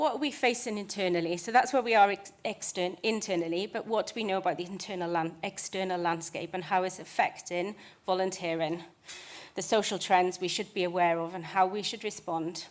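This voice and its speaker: The speaker is a woman with a British accent. Her pitch sits in the medium range. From United Kingdom. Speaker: conservation charity manager. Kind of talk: conference presentation. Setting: stage with audience. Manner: fast.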